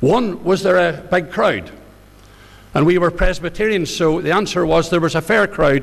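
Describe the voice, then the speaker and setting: A man's high-pitched voice with a Northern Irish accent, ordinary pitch variation, very even loudness and a moderate pace, over noticeable background noise. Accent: Northern Irish (Ballymena). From Northern Ireland, County Antrim (near Ballymena). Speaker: pastor. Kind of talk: testimony.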